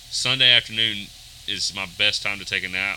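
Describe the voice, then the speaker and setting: A man talks with a Southern US accent. There is noticeable background noise. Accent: Southern US (Georgia). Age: 30s. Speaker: worship drummer. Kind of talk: casual interview.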